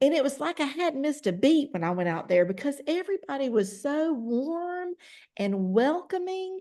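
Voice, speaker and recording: Loud and dark, mellow in tone, a woman speaks at a moderate pace in a high pitch with very wide pitch swings. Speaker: network marketing distributor. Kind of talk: testimony.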